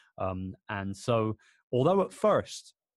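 A man with a London accent and a fairly low pitch, dry and close with no echo, on a very clean recording with a silent background. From London, England. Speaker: entrepreneur. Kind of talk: casual chat.

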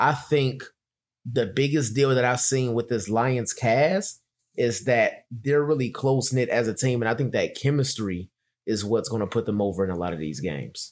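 On a very clean recording with a silent background, a man talks at a moderate pace. His intonation is lively. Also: medium pitch for a man. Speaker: sports podcast co-host. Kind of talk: casual chat.

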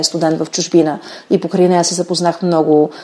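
Against noticeable background noise, a woman talks very fast at a fairly low pitch in a monotone, flat intonation. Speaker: molecular biologist. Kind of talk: interview.

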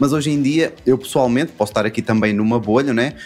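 A man's medium-pitched voice with a European Portuguese accent and ordinary pitch variation. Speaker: podcast panelist. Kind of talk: casual chat.

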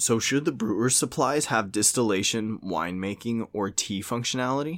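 A man with an unremarkable speaking voice and an American accent, medium pitch, lively intonation and a fairly quick pace, on a very clean recording with a silent background. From Louisiana, US South (Cajun). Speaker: tabletop gaming podcast host. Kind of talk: casual chat.

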